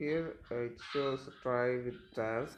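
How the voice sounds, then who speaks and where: A man with a non-native accent speaks very slowly at a medium pitch and fairly even intonation. Noticeable background noise and audible room echo fill the recording. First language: not English. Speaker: programming tutor. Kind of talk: tutorial. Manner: halting, many fillers.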